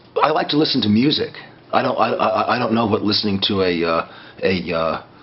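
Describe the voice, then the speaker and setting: Over noticeable background noise, a man with a medium pitch talks at a fairly quick pace with lively intonation. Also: long, frequent pauses. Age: 60s. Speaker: former community radio DJ. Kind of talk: interview. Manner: halting.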